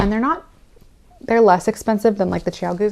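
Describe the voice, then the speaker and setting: A woman speaks with ordinary pitch variation while noticeable background noise runs behind her. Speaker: knitting vlogger. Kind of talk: casual chat. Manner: casual with fillers.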